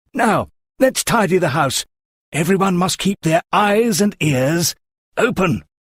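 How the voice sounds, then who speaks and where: A man's put-on character voice, high-pitched with lively intonation, at a fairly slow pace, very even in loudness, with a dry, close sound and no echo. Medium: audio drama. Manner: earnest, explanatory.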